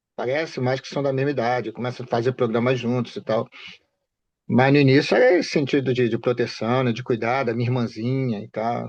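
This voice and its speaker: Over a quiet background, a man with an unremarkable speaking voice talks fairly quickly at a medium pitch, his intonation fairly even. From Rio de Janeiro state, Baixada Fluminense (Duque de Caxias). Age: 60s. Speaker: bereaved father. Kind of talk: interview.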